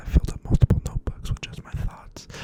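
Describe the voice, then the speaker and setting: Whispering at a very fast pace over noticeable background noise. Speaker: ASMR creator. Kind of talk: ASMR rambling chat. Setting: close to the microphone. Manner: rambling, filler-heavy.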